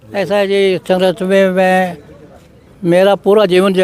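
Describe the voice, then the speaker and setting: A man speaks with a high pitch. Noticeable background noise runs under his voice. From Haryana, Yamunanagar district. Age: 80s+. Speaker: farmer activist. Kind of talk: interview.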